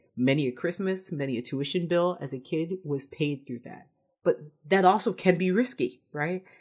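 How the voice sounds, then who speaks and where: Recorded very cleanly against a silent background, a woman with an American accent speaks at a moderate pace in a normal speaking voice. Her pitch sits fairly low, her intonation is lively, and her loudness swings widely. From New York City, the Bronx. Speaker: payments company executive. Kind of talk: interview conversation.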